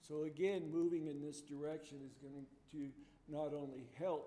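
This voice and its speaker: A man speaks with a dark, mellow tone at a fairly high pitch. His intonation stays fairly even and his pace is moderate. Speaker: building energy consultant, trainer. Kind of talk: training presentation. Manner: halting, with many fillers.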